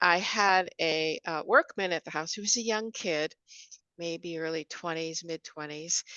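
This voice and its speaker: A woman's bright, sharp voice at a moderate pace, dry and close with no echo, over a quiet background. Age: 60s. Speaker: author and spiritual guide. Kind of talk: interview conversation.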